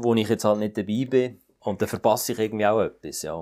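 Fairly even in intonation, a man with a Swiss accent speaks at a fairly low pitch. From Switzerland, Fribourg. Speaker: satirist and cabaret artist. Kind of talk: interview. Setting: remote call. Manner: halting.

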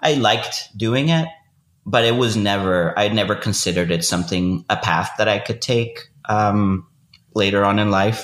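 A man speaks with a Spanish accent. His loudness stays very even. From Venezuela. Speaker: fiction writer. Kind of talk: interview conversation.

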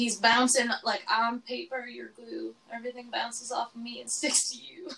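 Over noticeable background noise, a woman talks at a moderate pace in a fairly high voice. Her intonation is fairly even, but her loudness swings widely. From Alberta, Canada (small town). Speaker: podcast co-host. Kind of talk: casual chat.

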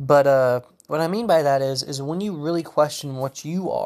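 A man's fairly high voice in a Southern US accent, with ordinary pitch variation. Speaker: solo podcaster. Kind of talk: solo monologue, casual ramble on politics. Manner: casual, rambling, hesitant with fillers.

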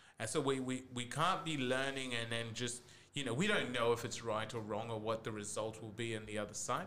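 This man has an ordinary speaking voice at a medium pitch, with ordinary pitch variation. He talks at a fairly quick pace. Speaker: podcast host. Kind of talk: casual chat.

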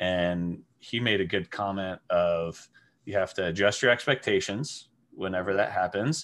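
The speaker has a Midwestern American accent. The recording is very clean, with a silent background. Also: man. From Wichita, Kansas. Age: 30s. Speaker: restaurant manager. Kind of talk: casual chat.

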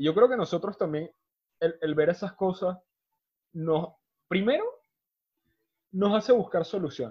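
Speaking at a high pitch, a man moves at a fairly slow pace with ordinary pitch variation. Long, frequent pauses break up his speech. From Venezuela. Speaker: podcast host. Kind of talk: casual chat.

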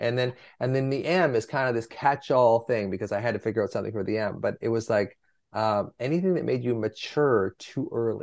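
A man speaks at a fairly quick pace with a medium pitch and ordinary pitch variation, in a plain, everyday voice. The background is quiet. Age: 60s. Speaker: physician and anxiety author. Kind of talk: interview conversation.

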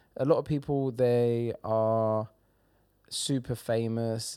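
A man speaks with an English accent at a medium pitch, his tone dark and mellow. The recording is very clean, with a silent background. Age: 30s. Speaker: comedian and social media personality. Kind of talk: casual chat. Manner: animated.

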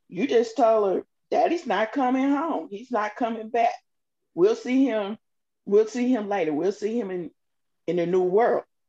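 Her dark, mellow voice moves at a moderate pace with lively intonation, broken by long, frequent pauses. The woman's sound is dry and close, with no echo. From Arkansas, Little Rock. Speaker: small business owner, mother. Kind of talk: personal testimony. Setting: studio.

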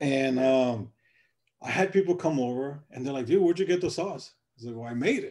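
An unremarkable speaking voice, a man's, fairly high-pitched and fairly quick, with ordinary pitch variation. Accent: American. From US Midwest, South Side Chicago. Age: 30s. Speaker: entrepreneur, BBQ sauce company founder, Marine veteran. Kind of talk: interview.

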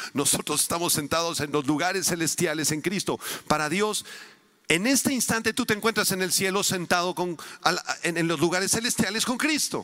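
Fairly quick speech from a man pitched high, with ordinary pitch variation. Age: 50s. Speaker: preacher, conference speaker. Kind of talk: sermon.

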